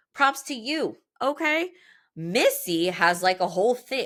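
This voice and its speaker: Loud and animated, a woman speaks at a fairly slow pace with a bright, sharp tone and very wide pitch swings. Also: very clean recording, silent background. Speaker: podcast host and business coach for movement professionals. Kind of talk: solo podcast monologue.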